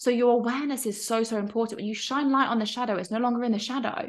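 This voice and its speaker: A woman talks at a very fast pace with a fairly high pitch. The background is quiet. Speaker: online course coach. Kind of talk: casual, encouraging. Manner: fast talker. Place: home room. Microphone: webcam.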